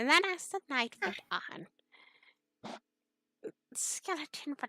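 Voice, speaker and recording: A woman speaks very slowly with very wide pitch swings, recorded dry and close with no echo, while music plays in the background. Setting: raw audio with a poor microphone, no visuals. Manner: hesitant, stumbling, repeating words.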